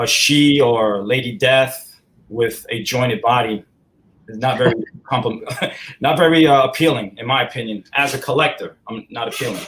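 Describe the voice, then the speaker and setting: In a strong New York accent, a man talks at a medium pitch and moderate pace, with ordinary pitch variation and big swings in loudness. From upstate New York. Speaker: collectibles company president. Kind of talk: casual interview.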